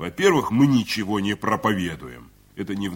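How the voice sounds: Simply a natural reading voice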